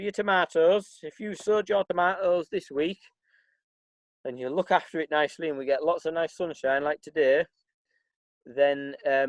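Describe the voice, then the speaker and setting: With a Yorkshire accent, a man talks at a moderate pace with fairly high pitch, ordinary pitch variation and long, frequent pauses, in a dry, close sound with no echo. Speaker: farm manager. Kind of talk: tutorial. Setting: outdoors in a garden. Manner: casual, halting with fillers.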